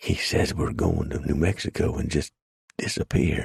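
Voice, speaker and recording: A man whispers in a put-on character voice. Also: moderate pace. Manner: whispering.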